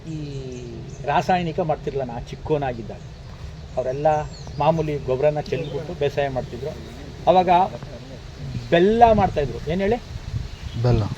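A man talks at a fairly high pitch with noticeable background noise behind him. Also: ordinary pitch variation. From Karnataka, Mysore district. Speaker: farmer. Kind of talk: farm tour talk to visitors.

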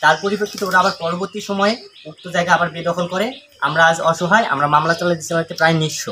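Over light background noise, a man speaks at a high pitch with fairly even intonation. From northern Bangladesh. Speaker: son of a persecuted landowner. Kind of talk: testimony. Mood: earnest, aggrieved. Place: open country. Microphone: phone near.

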